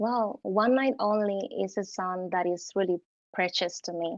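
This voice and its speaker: In a Cuban accent, a woman speaks fairly slowly at medium pitch with ordinary pitch variation, in a dry, close sound with no echo and a quiet background. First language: Spanish. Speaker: singer. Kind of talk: interview. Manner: hesitant, many fillers.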